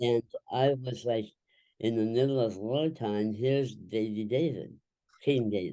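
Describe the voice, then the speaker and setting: Fairly slow and with fairly even intonation, a man speaks in a dark, mellow tone. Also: medium pitch for a man. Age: 70s. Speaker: inspirational humorist. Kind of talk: interview.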